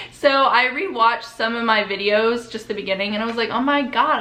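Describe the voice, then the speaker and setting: A woman with an American accent talks at a moderate pace and a fairly high pitch with ordinary pitch variation, amid noticeable background noise and audible room echo. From US Midwest. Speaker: YouTuber. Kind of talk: casual vlog intro.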